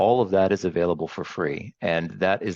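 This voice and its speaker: In a dry, close sound with no echo and a quiet background, a man with an American accent speaks at a very deep, low pitch with fairly even intonation. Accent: American-sounding. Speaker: training academy director. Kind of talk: interview.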